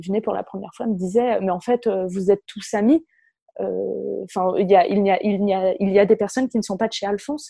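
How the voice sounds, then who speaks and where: A woman's dark, mellow voice at a fairly quick pace, with fairly even intonation and a dry, close sound free of echo. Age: 20s. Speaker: communications manager and workplace wellbeing officer. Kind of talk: interview.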